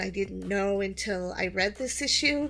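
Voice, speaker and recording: Music plays in the background. A woman talks at a medium pitch and a moderate pace. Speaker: YouTuber reviewing comics. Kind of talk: personal vlog monologue. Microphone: new microphone.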